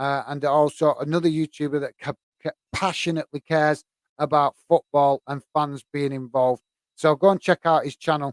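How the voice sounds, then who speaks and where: A man's fairly high, monotone voice with flat intonation and a Lancashire accent, in a dry, close sound with no echo. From northern England, Bolton. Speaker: football YouTuber. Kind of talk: live stream chat. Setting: live stream. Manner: fast; hesitant, many fillers.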